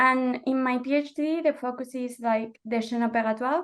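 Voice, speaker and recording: The background is quiet. Delivery is at a moderate pace, with ordinary pitch variation. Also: woman. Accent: Spanish. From Spain. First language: Spanish. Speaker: PhD student, archaeologist. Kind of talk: panel discussion.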